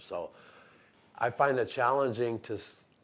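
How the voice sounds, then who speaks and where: Here a man is speaking. He keeps a fairly slow pace. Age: 60s. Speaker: poet. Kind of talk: interview. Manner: halting.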